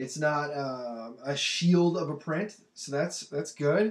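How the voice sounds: Speaking slowly, a man with a fairly high pitch shows ordinary pitch variation.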